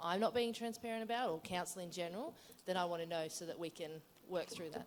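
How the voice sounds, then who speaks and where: With an Australian accent, a woman talks at a very fast pace in a fairly low voice. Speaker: council events officer, audience member. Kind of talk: conference Q&A question. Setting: conference room with audience. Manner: loud.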